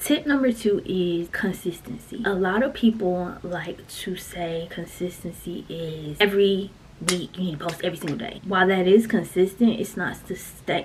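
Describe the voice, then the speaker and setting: A woman talks with hardly any pauses. Noticeable background noise sits behind her. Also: medium pitch for a woman, ordinary pitch variation, moderate pace. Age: 30s. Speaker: YouTuber. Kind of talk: casual vlog talk with tips. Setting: home content room. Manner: animated.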